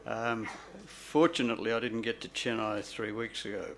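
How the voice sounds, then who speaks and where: A man speaks at a fairly slow pace, his pitch sitting in the middle range. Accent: Australian. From Australia. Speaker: doctor. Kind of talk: public lecture. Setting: stage with audience. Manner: halting.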